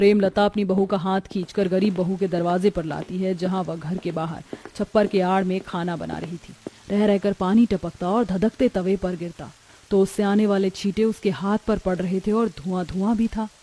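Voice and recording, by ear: This voice has a dark, mellow tone and fairly even intonation, moving at a moderate pace with few pauses in a dry, close sound with no echo. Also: woman, medium pitch for a woman.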